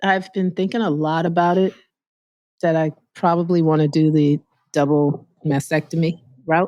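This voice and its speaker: A woman speaks at a moderate pace with long, frequent pauses, in a fairly low voice with a dark, mellow tone. Her loudness stays very even and her intonation fairly even. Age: 60s. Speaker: breast cancer patient sharing her journey. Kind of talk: interview.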